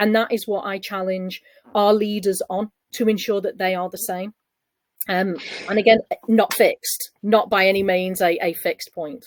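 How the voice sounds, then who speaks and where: A woman speaks at a medium pitch and moderate pace with monotone, flat intonation. The sound is dry and close with no echo. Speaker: people and operations executive. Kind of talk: webinar panel discussion. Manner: loud.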